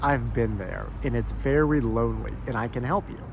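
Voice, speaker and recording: A man at a moderate pace with noticeable background noise. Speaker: former stutterer, speech encouragement coach. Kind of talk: casual talk to camera. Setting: outdoors. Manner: slight remaining stutter.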